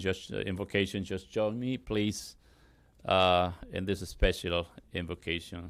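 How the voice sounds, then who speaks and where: Monotone, flat speech with a Spanish accent at a fairly slow pace, on a very clean recording with a silent background. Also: man. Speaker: pastor. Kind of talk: prayer invocation. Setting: ceremony with audience. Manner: halting.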